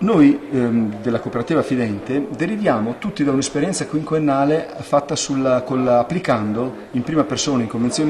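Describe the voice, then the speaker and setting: With light background noise in the recording, a man talks at a moderate pace and uses ordinary pitch variation. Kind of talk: interview answer. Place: office. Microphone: handheld.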